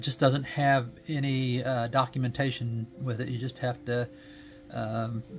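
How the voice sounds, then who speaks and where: Over faint background music, a man talks at a moderate pace with a monotone, flat intonation. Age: 70s. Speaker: gaming streamer. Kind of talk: product review. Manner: halting, many fillers. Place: home room.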